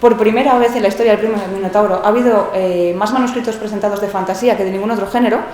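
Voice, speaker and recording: A woman talks very fast at a fairly high pitch. Noticeable background noise and audible room echo surround her. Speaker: book editor. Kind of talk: panel talk. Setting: stage with audience.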